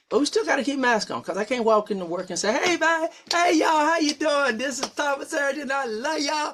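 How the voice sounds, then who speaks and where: Over noticeable background noise, a man talks at a very fast pace in an animated tone with an extremely high pitch. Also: lively intonation, hardly any pauses. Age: 50s. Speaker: podcast host and pastor. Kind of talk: casual talk show conversation. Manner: animated, repeats words.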